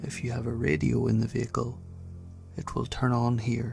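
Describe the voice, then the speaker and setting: A soft-spoken man talks with an Irish accent. Music plays in the background. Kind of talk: horror story narration.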